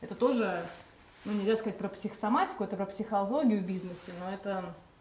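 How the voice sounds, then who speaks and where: Amid light background noise and audible room echo, a woman at medium pitch speaks at a very fast pace with fairly even intonation. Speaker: event organizer hosting livestream; host of a psychology talk. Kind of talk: livestream introduction and announcements. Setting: online live broadcast. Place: home room.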